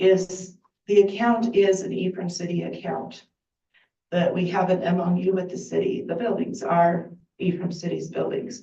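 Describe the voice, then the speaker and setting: With vocal fry and a dark, mellow tone, a woman speaks at medium pitch and moderate pace with fairly even intonation, and audible room echo surrounds her. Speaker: volunteer bookkeeper for a heritage group. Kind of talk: public comment at council meeting. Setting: city council meeting.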